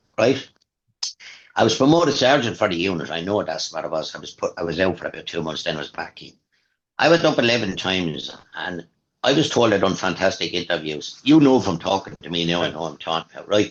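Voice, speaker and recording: Very fast and with a Waterford accent, a man with a very deep, low pitch speaks with lively intonation and big swings in loudness. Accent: Irish, Waterford. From Waterford, Ireland. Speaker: retired police diver. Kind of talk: interview answer. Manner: casual, conversational.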